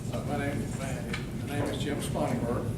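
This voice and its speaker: The speaker is a man. Room echo is audible and background noise is noticeable. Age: 70s. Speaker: political candidate. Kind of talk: candidate forum speech. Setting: candidate forum with audience.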